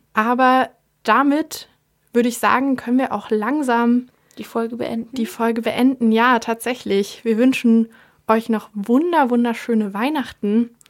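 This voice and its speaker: In a very clean recording with a silent background, a woman with an unremarkable speaking voice talks at a fairly slow pace, her pitch fairly high and her intonation fairly even. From eastern Germany, Leipzig. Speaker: student radio host. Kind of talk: casual chat; street interview. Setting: studio.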